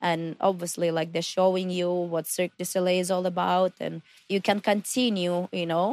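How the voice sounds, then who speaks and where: A woman's fairly low voice in a flat monotone at a moderate pace, on a very clean recording with a silent background. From Kazakhstan. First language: Russian or Kazakh. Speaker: circus acrobat. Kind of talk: interview. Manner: halting.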